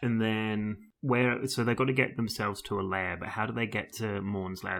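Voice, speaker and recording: A man with a British accent, fairly low in pitch, with fairly even intonation. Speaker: podcast co-host. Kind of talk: casual chat.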